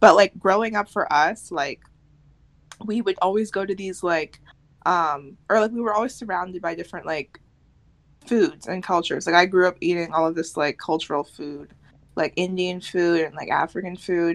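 A woman with an American accent, a normal speaking voice, medium pitch and ordinary pitch variation. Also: moderate pace. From United States. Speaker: podcast co-host. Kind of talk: casual chat.

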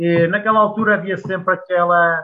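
At a fairly quick pace, a man speaks in a high pitch with fairly even intonation. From Portugal, Coimbra. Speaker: former footballer. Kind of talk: casual interview.

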